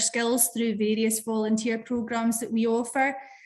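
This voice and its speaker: Speaking with a southwest Scottish accent, a woman uses a fairly high pitch at a moderate pace. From Scotland, Dumfries and Galloway. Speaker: youth worker. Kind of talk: webinar panel discussion.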